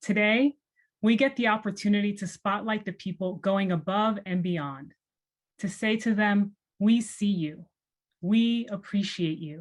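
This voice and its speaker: Somewhat breathy speech moves at a fairly slow pace with ordinary pitch variation on a very clean recording with a silent background. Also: woman, medium pitch for a woman. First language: Spanish. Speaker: nonprofit executive director. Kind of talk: welcome speech. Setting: virtual event.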